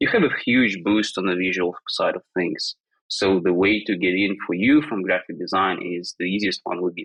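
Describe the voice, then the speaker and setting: A man speaks with a non-native accent. The sound is dry and close, with no echo. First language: not English. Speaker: design education startup founder. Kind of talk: podcast interview. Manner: hesitant, many fillers.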